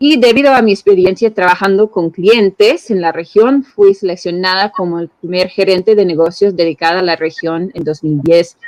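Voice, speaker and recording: Over a quiet background, the speech runs at a moderate pace with ordinary pitch variation and hardly any pauses. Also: woman. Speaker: regional business manager. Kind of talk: workshop presentation. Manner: halting, with fillers. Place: home room. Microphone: video call.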